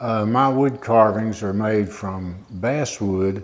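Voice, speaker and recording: A man talks at a fairly slow pace, with audible room echo. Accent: Appalachian. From southwest Virginia. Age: 70s. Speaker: retired teacher and wood carver. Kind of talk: interview monologue. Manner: halting, many fillers.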